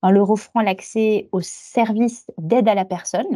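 A woman's dark, mellow tone sits at a fairly high pitch with ordinary pitch variation on a very clean recording with a silent background. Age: 40s. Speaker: human resources director. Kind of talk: corporate interview.

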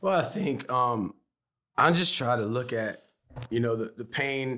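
At a fairly slow pace, a man speaks with ordinary pitch variation. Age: 40s. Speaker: pastor and author. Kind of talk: casual chat.

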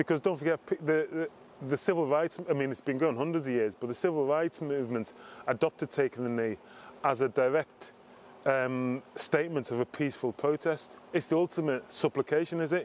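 A man's fairly high voice with a Liverpool accent, fairly quick delivery and ordinary pitch variation in a dry, close sound with no echo. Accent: Liverpool (Scouse) English. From Liverpool, England. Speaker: former footballer, diversity executive. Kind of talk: interview.

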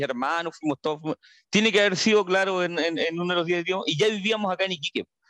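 Recorded with a dry, close sound with no echo, a man speaks at a high pitch with ordinary pitch variation. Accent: Chilean. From northern Chile, María Elena. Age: 30s. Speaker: journalist. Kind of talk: casual chat.

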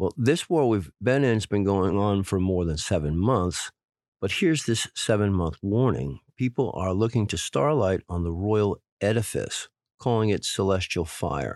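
A man with a normal speaking voice and a fairly low pitch at a moderate pace, on a very clean recording with a silent background. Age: 40s. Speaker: podcast host interpreting prophecies. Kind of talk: solo monologue with readings of verses.

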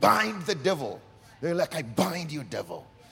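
Music in the background behind a man's high voice, lively in intonation and moderate in pace. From Uganda. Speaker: pastor. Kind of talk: sermon. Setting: church service. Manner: passionate.

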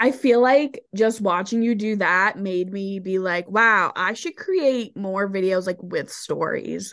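A woman with an ordinary speaking voice talks at a medium pitch with ordinary pitch variation. Her pace is fairly slow, with hardly any pauses. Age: 20s. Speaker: podcast co-host, adult content creator. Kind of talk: casual chat.

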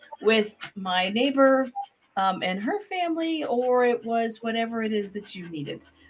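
A woman speaks with an unremarkable speaking voice at a fairly high pitch. Her intonation is lively. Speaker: grief therapist and podcast co-host. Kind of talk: casual chat. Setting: live recording.

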